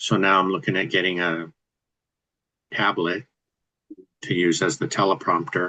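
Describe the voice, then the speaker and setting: Soft-spoken at a moderate pace, the voice has a bright, sharp tone, ordinary pitch variation, and a dry, close sound with no echo. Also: man. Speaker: real estate investor and video creator. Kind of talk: casual chat.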